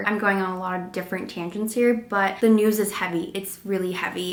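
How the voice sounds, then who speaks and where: Over noticeable background noise, a woman speaks at a very fast pace with a medium pitch and monotone, flat intonation. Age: 20s. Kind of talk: casual vlog talk to camera.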